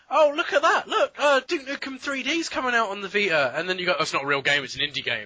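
A man speaks at a very fast pace with hardly any pauses. Noticeable background noise runs underneath. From Scotland. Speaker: podcast co-host. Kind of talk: casual chat.

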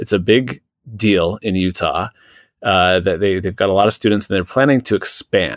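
A man with an American accent speaks at a moderate pace in a fairly low pitch, with ordinary pitch variation, in an unremarkable speaking voice, recorded dry and close with no echo over a quiet background. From Washington State, Seattle. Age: 40s. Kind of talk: casual chat.

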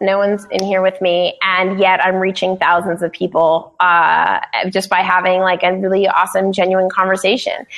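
A woman of medium pitch speaks at a moderate pace with hardly any pauses and very even loudness. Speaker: podcaster and podcast producer. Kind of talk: casual chat. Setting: studio. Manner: animated.

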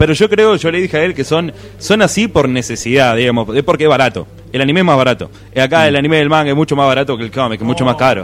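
At a very fast pace, a man speaks with lively intonation and a fairly high pitch. Noticeable background noise runs underneath. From Buenos Aires, Argentina. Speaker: podcast commentator. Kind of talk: casual chat. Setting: live podcast festival table.

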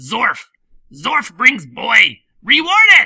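Someone shouts in a put-on character voice. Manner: yelling, broken speech.

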